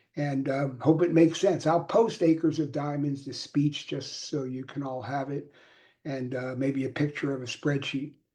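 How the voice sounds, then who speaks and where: A man talks in a dark, mellow, somewhat breathy tone with fairly even intonation. The background is quiet. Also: fairly high pitch for a man, moderate pace. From Philadelphia, US. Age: 70s. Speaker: communication coach. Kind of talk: live stream talk. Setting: live video stream. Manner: casual, street-talk style; halting, many repetitions.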